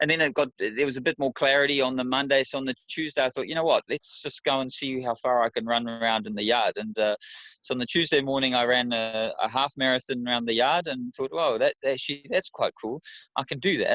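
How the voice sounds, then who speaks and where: This man talks at a very fast pace. He has a New Zealand accent. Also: medium pitch for a man, ordinary pitch variation. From New Zealand, Wellington. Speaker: amateur ultra runner. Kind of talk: interview.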